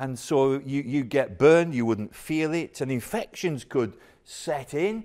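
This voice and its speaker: The man has an ordinary speaking voice, fairly high in pitch, with lively intonation at a fairly slow pace. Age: 60s. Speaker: pastor. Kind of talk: sermon. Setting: church.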